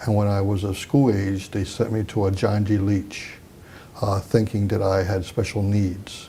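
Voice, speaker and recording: Somewhat breathy and dark, mellow in tone, a man with a Mid-Atlantic American accent speaks at a fairly low pitch and a fairly slow pace. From Delaware, US. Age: 60s. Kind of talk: oral history interview. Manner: halting, many fillers.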